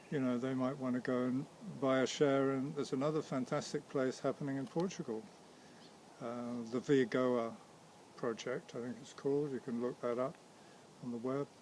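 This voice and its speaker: Pausing long and often, a man of medium pitch keeps a moderate pace and fairly even intonation. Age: 60s. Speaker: vegan community founder. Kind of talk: interview. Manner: hesitant, repeats words.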